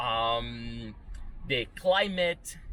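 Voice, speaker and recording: This is a man speaking. His pitch is fairly high. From Venezuela, moved to US in eighth grade. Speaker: YouTuber. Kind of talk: opinion rant monologue.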